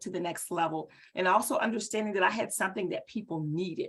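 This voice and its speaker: In a Southern US accent, a woman talks at a very fast pace with an animated tone and lively intonation. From US South, High Point, North Carolina. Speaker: executive presence strategist. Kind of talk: webinar presentation.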